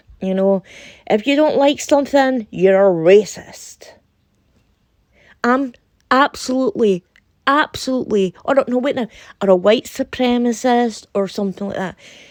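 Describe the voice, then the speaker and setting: A woman with a Scottish accent, high in pitch with ordinary pitch variation, at a moderate pace with long, frequent pauses, in a dry, close sound with no echo. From Scotland. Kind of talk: casual talk to camera. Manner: indignant, heated.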